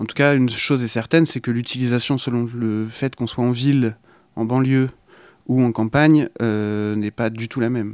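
A man with an unremarkable speaking voice talks at a moderate pace and medium pitch. His intonation is fairly even, in a very clean recording with a silent background. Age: 20s. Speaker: radio show guest. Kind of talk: radio discussion.

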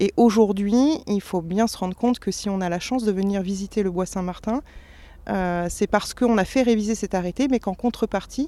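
Over a silent background in a very clean recording, the voice has a dark, mellow tone, ordinary pitch variation and a fairly quick pace. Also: woman. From France, Sologne. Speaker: forest manager. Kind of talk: interview.

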